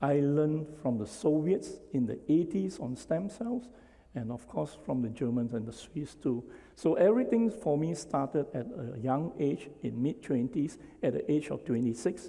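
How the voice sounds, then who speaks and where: At a moderate pace, a man with a fairly high pitch and a dark, mellow tone lets his pitch swing very widely. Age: 60s. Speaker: physician and stem cell researcher. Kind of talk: lecture. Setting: stage with audience.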